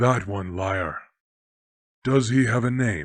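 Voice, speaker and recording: At a fairly slow pace and a medium pitch, a man puts on a character voice. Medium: read story. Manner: commanding, measured.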